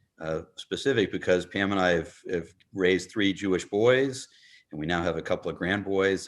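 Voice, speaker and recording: Speaking at a moderate pace, this man has a very deep, low pitch and an American accent. The background is quiet. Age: 60s. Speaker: congregation member. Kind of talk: audience question. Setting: video call.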